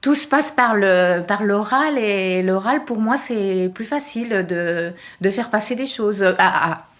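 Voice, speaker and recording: A woman speaks very slowly in a fairly high pitch. Her intonation is lively. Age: 60s. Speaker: retired volunteer. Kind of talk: interview. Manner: halting.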